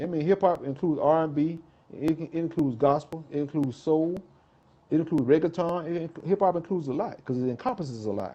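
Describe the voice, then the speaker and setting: With an American accent and a dark, mellow tone, a man with a fairly high pitch talks at a very fast pace with ordinary pitch variation. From South Carolina, Greenville/Columbia. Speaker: hip-hop artist. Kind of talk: interview.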